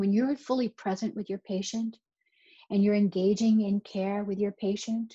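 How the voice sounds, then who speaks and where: A woman's somewhat breathy, fairly high voice in a Boston accent, dark and mellow in tone, at a moderate pace, with a dry, close sound and no echo. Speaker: neonatal nurse practitioner, speaker. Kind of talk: recorded conference talk. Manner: conversational, with repetitions.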